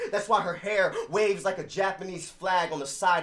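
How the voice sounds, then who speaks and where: Music plays behind a man who talks at an average speed. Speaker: spoken word poet. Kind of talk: spoken word poetry performance.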